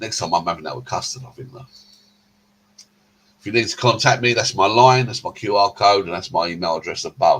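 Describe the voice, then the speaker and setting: A man speaks with an English accent. His pitch is medium. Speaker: vlogger. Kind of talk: casual vlog narration. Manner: hesitant.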